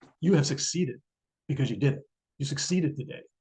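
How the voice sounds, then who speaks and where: The speaker is a man. His tone is dark and mellow. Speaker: neurologist. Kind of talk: lecture. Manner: fast.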